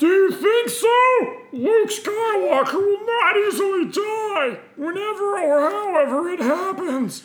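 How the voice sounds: In a put-on character voice, the speaker talks at a fairly slow pace in an extremely high pitch, with hardly any pauses.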